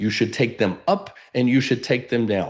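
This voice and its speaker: A man talks in an animated tone at a moderate pace. His pitch variation is ordinary. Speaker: real estate coach. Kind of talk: webinar training.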